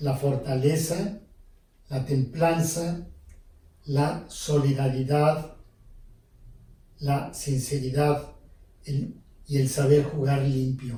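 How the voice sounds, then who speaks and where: A man's very slow, somewhat breathy voice, fairly high in pitch and dark and mellow in tone, with long, frequent pauses and audible room echo. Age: 70s. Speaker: priest. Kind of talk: interview. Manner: hesitant, with fillers.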